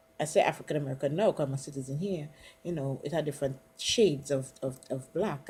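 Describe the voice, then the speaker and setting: Somewhat breathy and dark, with a mellow tone, a woman's very deep, low voice moves at a fairly quick pace. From Trinidad and Tobago. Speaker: college student. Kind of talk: casual conversation.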